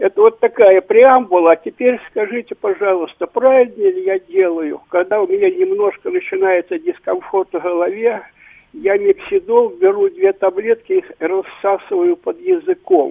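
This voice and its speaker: At a moderate pace, a man speaks at an extremely high pitch with very wide pitch swings. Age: 80s+. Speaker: caller, retired university lecturer. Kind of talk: call-in question.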